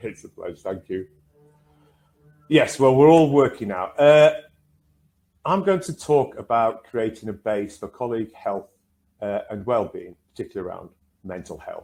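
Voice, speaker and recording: A man with a northern English accent speaks in a dark, mellow tone, with very wide pitch swings, big swings in loudness, and long, frequent pauses. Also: medium pitch for a man, moderate pace. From northern England. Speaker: counsellor and trainer. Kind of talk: online workshop presentation.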